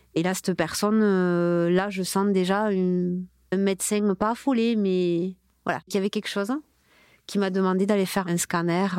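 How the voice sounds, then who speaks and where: On a very clean recording with a silent background and a dry, close sound with no echo, a woman speaks at a moderate pace and medium pitch with fairly even intonation. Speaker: multiple sclerosis patient and mother. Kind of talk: testimony. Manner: halting.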